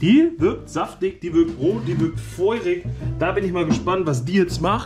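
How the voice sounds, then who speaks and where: Clear music runs in the background while a man speaks at a moderate pace. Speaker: food reviewer. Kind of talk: casual vlog chat. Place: kitchen. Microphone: phone near.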